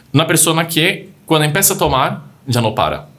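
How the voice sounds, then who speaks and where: Lively intonation from a man, delivered at a moderate pace. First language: not Spanish (speaking Spanish). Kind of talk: casual chat. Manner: halting.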